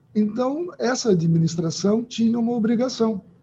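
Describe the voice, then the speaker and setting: A man speaks fairly slowly in a dark, mellow tone. His pitch swings very widely. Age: 50s. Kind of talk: interview.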